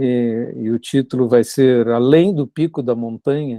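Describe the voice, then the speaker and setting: At a very slow pace, a man with a medium pitch and a dark, mellow tone speaks with fairly even intonation, the sound dry and close with no echo against a quiet background. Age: 70s. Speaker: Buddhist monk and author. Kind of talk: reflective conversation.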